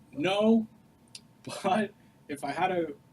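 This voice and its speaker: Noticeable background noise lies behind a man speaking at a high pitch. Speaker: software developer and studio co-founder. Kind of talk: Q&A talk to students. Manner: loud; casual, filler-heavy.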